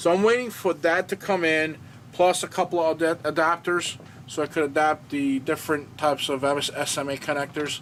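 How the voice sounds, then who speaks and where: A man mumbles at a moderate pace in a fairly high pitch, with ordinary pitch variation and noticeable background noise. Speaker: amateur radio YouTuber. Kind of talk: tutorial. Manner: mumbling; hesitant, many fillers.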